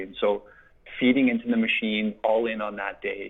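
A man speaks with a Canadian Prairies accent. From Saskatchewan, Canada. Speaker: agricultural industry relations director. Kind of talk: interview. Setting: phone call. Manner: animated.

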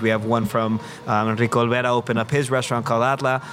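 A man's monotone, flat delivery amid noticeable background noise. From Mexico City. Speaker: chef and restaurant owner. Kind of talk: casual chat.

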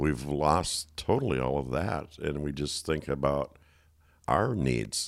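Very deep and low, a man's voice carries vocal fry and ordinary pitch variation as he talks at a very slow pace. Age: 60s. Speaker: coaching organization founder. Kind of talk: casual chat.

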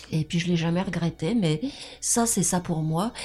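At a moderate pace, a woman speaks in a fairly low pitch with ordinary pitch variation over noticeable background noise. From France. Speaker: freemason lodge member. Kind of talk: podcast interview. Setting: video call.

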